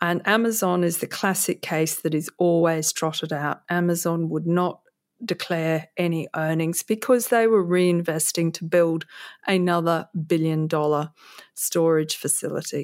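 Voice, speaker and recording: On a very clean recording with a silent background, a woman with an Australian accent and a fairly low voice speaks at a fairly slow pace with fairly even intonation. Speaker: author and former stockbroker. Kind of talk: interview.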